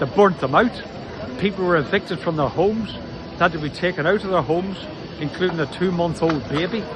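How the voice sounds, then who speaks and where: A man with a Northern Irish accent talks at a fairly quick pace in a high pitch for a man, with ordinary pitch variation. Noticeable background noise sits behind his voice. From Northern Ireland. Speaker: socialist party workplace organiser. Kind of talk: political statement to camera.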